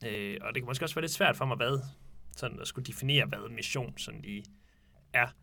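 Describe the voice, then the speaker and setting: A man speaks at a fairly quick pace in a bright, sharp tone marked by vocal fry. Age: 20s. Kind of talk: casual discussion. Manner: hesitant, many fillers.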